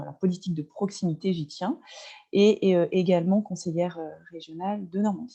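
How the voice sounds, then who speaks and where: Dark, mellow tone from a woman, moderate pace and ordinary pitch variation. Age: 40s. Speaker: venue owner and local politician. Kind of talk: webinar presentation. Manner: halting, many filler sounds.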